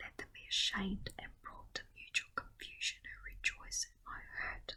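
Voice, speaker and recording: Whispering, a woman speaks at a fairly slow pace. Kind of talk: Bible reading for sleep. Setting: home recording with garden nature sounds. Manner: whispered, soft-spoken.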